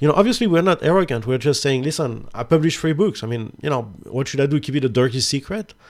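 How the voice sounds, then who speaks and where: A man talks at a very fast pace. His fairly high voice has lively intonation. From France. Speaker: photography podcast host. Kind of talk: casual chat.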